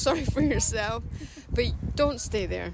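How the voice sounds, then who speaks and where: The speaker has a Scottish accent and a moderate pace. Music plays in the background. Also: woman. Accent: sounds Scottish. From Denmark, Copenhagen, with Scottish father. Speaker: artist. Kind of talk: interview. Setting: outdoors by a river.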